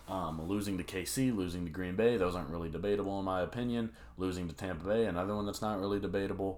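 Audible room echo surrounds this man's very deep, low pitch. He speaks at a very fast pace. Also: ordinary pitch variation. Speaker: sports podcast host. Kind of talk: solo sports predictions monologue. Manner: animated.

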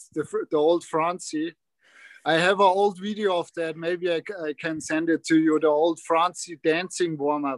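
In a strong German accent, the speaker talks at a moderate pace with fairly even intonation, in a dry, close sound with no echo. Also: man, high pitch for a man. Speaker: hockey player. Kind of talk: casual chat.

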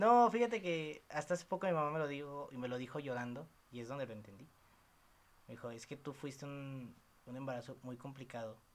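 A man speaks at a fairly quick pace with a Mexican accent. His pitch is fairly high and his intonation lively. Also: big swings in loudness. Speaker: podcast host. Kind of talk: casual chat. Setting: girlfriend's apartment.

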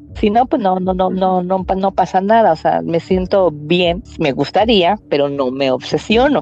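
A woman at a fairly slow pace, with lively intonation, hardly any pauses and very even loudness, over music in the background. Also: medium pitch for a woman. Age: 30s. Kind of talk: interview testimony. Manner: halting, many repetitions.

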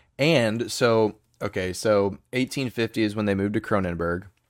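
A plain, everyday voice is heard on a very clean recording with a silent background. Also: man. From United States. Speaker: beer podcast co-host. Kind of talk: casual chat.

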